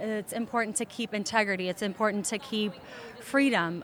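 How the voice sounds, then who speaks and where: Pitched fairly high, a woman talks with ordinary pitch variation at a moderate pace. She has a plain, everyday voice. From Moldova, moved to US at eight. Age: 20s. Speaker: immigrant sharing family story. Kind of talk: interview.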